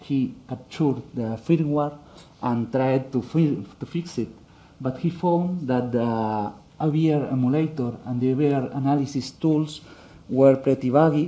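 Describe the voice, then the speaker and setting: Speaking with a Spanish accent, a man goes at a fairly slow pace in a dark, mellow tone. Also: medium pitch for a man, ordinary pitch variation. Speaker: conference speaker. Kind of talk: technical talk. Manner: halting, many fillers.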